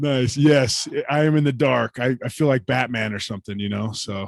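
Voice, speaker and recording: This man talks with hardly any pauses and ordinary pitch variation, his dry sound carrying no echo over a quiet background. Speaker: guest host of a no-code coaching show; meeting host. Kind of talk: casual video call chat. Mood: cheerful, laughing. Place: home room. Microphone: studio mic.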